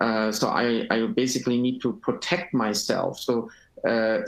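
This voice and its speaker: Speaking at a fairly slow pace, a man talks in a German accent. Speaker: panelist. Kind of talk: webinar panel discussion. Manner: halting.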